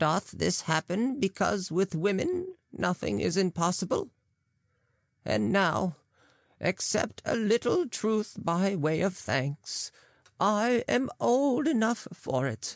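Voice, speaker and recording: Using a put-on character voice with very wide pitch swings, a woman speaks at a fairly slow pace over a quiet background. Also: medium pitch for a woman, very even loudness, dry, close sound with no echo. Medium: read story. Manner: wry, knowing.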